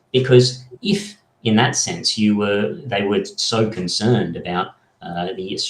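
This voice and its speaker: A man talks in an Australian accent. His pace is very slow. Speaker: political party member. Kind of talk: podcast interview.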